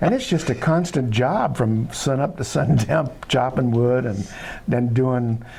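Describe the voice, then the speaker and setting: Over noticeable background noise, a man speaks fairly slowly at medium pitch, with ordinary pitch variation and very even loudness. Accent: American. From Southern California. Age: 70s. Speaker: filmmaker. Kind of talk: interview. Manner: halting, many fillers.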